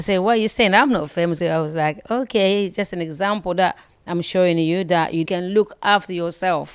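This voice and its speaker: A woman speaks at a fairly quick pace with hardly any pauses, in an unremarkable speaking voice of medium pitch and ordinary pitch variation, on a very clean recording with a silent background. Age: 60s. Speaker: braiding salon owner. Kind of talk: interview.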